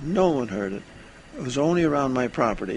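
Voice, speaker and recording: Noticeable background noise runs under this recording. The man's pitch is fairly high. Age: 90s. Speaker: retired ham radio operator and electronics veteran. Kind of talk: recorded testimony. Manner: halting, with frequent fillers.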